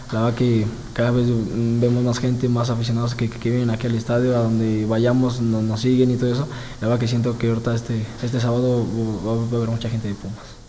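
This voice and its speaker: The voice moves at a fairly quick pace with monotone, flat intonation. Light background noise is present. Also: man. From Mexico. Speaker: footballer. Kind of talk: press conference. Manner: halting, many fillers and repetitions. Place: meeting room. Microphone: handheld.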